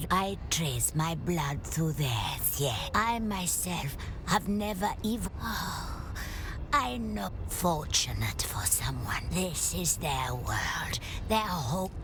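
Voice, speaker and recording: Loud background noise accompanies a put-on character voice delivered at a very slow pace. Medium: short film.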